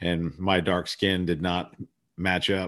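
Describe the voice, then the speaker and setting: This man has a very deep, low voice and speaks with a US Midwestern accent. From Columbus, Ohio. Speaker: singer-songwriter and finance podcaster. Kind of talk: casual interview chat.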